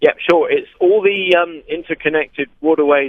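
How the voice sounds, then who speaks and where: Here a man talks with a West Country accent. His pace is moderate. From West Country of England, Dorset. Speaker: long-distance kayaker. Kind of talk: radio interview.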